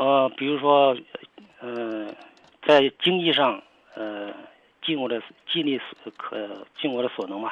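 A man at a medium pitch, fairly slow pace, ordinary pitch variation, and long, frequent pauses. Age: 60s. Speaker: caller, retired factory worker and former soldier. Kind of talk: phone-in advice call. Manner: halting.

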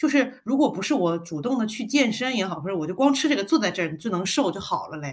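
Very fast and with hardly any pauses, a woman speaks at a medium pitch with very wide pitch swings and a somewhat breathy sound. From China, Guangzhou. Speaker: podcast co-host. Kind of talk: casual chat.

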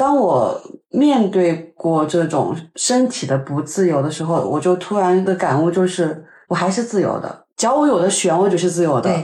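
A woman talks in an ordinary speaking voice. Her pitch is fairly low and her intonation is lively. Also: moderate pace. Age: 30s. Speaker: podcast host, advertising worker. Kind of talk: casual chat.

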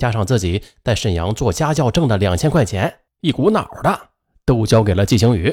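Lively intonation throughout plain reading aloud, quiet background behind it

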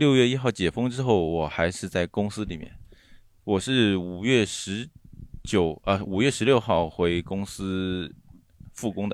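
A man's ordinary speaking voice, fairly low in pitch, with ordinary pitch variation and a fairly slow pace. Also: very clean recording, silent background. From Shanghai, Baoshan district. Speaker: car industry team leader. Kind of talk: casual chat.

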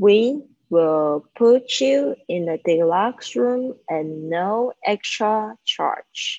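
A woman speaks at a very slow pace with hardly any pauses and very wide pitch swings. The sound is dry and close, with no echo. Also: medium pitch for a woman. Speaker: English teacher. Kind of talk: live online English lesson. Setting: live video stream.

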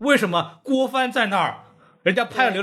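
A man's voice is raised and projected, with an animated tone. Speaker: podcast host and film critic. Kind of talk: casual chat.

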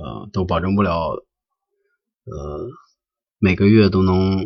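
A man with a very deep, low pitch speaks at a fairly slow pace, somewhat breathy and with fairly even intonation. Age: 40s. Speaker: podcast host. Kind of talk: solo podcast monologue. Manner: halting, with frequent filler sounds.

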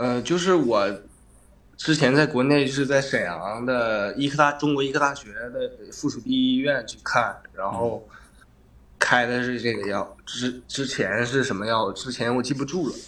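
Moderate-paced speech from a medium-pitched man with ordinary pitch variation, against noticeable background noise. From Northeast China, Shenyang. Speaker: livestream caller with depression. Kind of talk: casual chat, personal confiding. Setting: livestream voice link.

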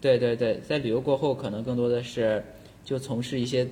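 Medium pitch in a man's speaking voice. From China, Shandong. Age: young. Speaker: school psychology teacher. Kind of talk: casual chat.

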